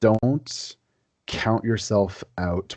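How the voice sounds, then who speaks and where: With ordinary pitch variation and a dark, mellow tone, a man talks against a quiet background. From Quebec. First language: French. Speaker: historian. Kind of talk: podcast interview.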